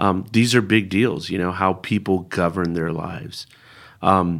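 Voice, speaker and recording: Using a very deep, low pitch, a man talks at a fairly slow pace with ordinary pitch variation. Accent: Californian. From US West Coast, San Francisco Bay Area. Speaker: preacher. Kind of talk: interview. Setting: studio.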